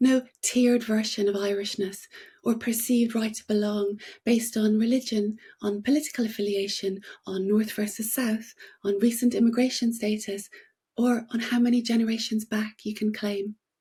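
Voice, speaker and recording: Somewhat breathy and at a fairly high pitch, a woman talks at a moderate pace in a monotone, flat intonation. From Northern Ireland, Belfast. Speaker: playwright and novelist. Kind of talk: reading aloud a prepared essay. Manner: formal.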